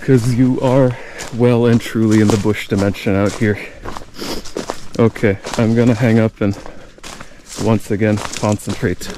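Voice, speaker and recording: A man at a fairly slow pace with long, frequent pauses, medium pitch, monotone, flat intonation and very even loudness, amid noticeable background noise. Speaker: hiking vlogger. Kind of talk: vlog narration while hiking. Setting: outdoors in the woods.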